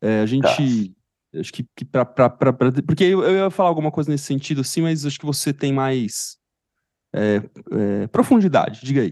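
Against a quiet background, a man with an ordinary speaking voice talks at a moderate pace in a fairly high pitch with lively intonation, the sound dry and close with no echo. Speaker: psychologist podcast co-host. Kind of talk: casual chat.

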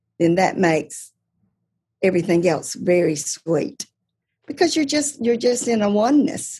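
A woman speaks at a moderate pace in a medium pitch, her tone dark and mellow and somewhat breathy. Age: 60s. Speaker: married couple mentor. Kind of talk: casual interview chat.

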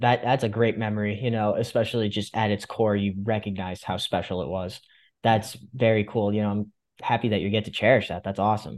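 A man with an American accent and a plain, everyday voice speaks fairly quickly against a quiet background. His pitch is fairly low and his intonation fairly even. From Fairfield County, Connecticut. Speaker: podcast host. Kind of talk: interview.

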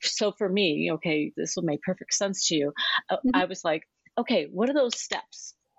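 A woman speaks at a medium pitch and a moderate pace. Her pitch swings very widely. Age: 60s. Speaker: retired school principal and widow. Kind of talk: casual interview. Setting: video call.

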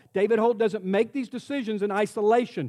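A man speaks in an animated tone. The sound is dry and close with no echo, on a very clean recording with a silent background. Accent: American. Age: 60s. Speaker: pastor. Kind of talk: sermon.

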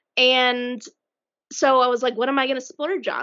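In a Colorado accent, a woman with a high-pitched voice speaks at a moderate pace. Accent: American, Colorado. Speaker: podcast co-host. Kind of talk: casual chat.

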